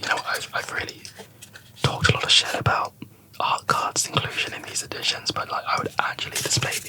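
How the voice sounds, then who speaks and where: With noticeable background noise behind him, a man whispers at a fairly quick pace. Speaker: ASMR YouTuber, Blu-ray collector. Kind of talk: ASMR ramble, casual movie chat to camera. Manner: soft-spoken, whispered.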